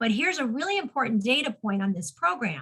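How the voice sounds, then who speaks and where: A woman with an unremarkable speaking voice and a fairly high pitch at a fairly quick pace. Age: 60s. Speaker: suicide prevention advocate. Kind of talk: interview.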